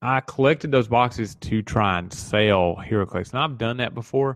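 A man with a Southern US accent speaks at a moderate pace with ordinary pitch variation over a quiet background. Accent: Southern twang. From Tennessee, US South. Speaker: podcast host. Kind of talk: casual solo podcast talk.

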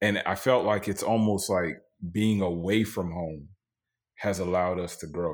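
Fairly even intonation in an American accent. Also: man, very deep, low pitch for a man, moderate pace. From Florida, Tampa. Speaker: podcast host. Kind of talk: casual chat. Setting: video call.

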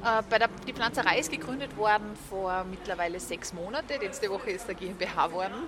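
A woman at medium pitch talks at a fairly quick pace with hardly any pauses and ordinary pitch variation, with noticeable background noise. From Austria. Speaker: vegan food entrepreneur. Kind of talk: interview.

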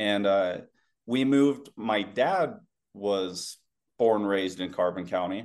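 In a Western US accent, a man talks at a fairly low pitch with ordinary pitch variation. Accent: general American, laid back, Western US. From Utah. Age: 30s. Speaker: former Marine and security contractor. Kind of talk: casual interview. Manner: laid back.

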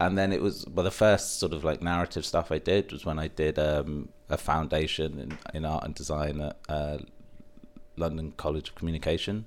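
On a very clean recording with a silent background, a man with a southern English accent speaks at a very deep, low pitch with fairly even intonation. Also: moderate pace. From England, Stevenage, partly raised in Middle East. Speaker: film producer. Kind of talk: interview conversation. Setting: in person.

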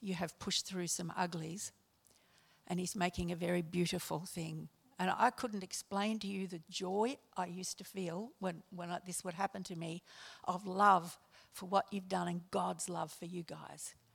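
A woman speaks at a moderate pace with a fairly low pitch and vocal fry. Her intonation is monotone and flat. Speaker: church member. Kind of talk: prayer.

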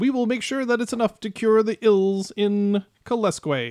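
A put-on character voice with a fairly high pitch talks at a moderate pace. The recording is very clean, with a silent background.

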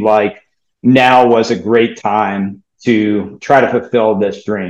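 A man speaks with an American accent. He goes at a very slow pace. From US South, New Orleans. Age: 40s. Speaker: fund manager. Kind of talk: interview.

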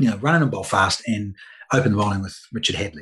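A somewhat breathy male voice. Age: 50s. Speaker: former cricketer, media presenter. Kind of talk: interview.

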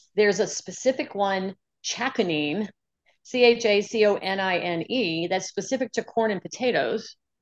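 A woman with an American accent speaks at a moderate pace in a medium pitch, in a plain, everyday voice, with a dry, close sound with no echo and a quiet background. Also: ordinary pitch variation. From US South, New Orleans, Louisiana. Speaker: nurse practitioner. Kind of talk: casual chat.

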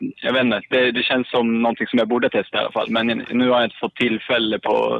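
A man speaks at a fairly quick pace with hardly any pauses and very even loudness. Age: 20s. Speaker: caller. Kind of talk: casual chat. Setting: phone call.

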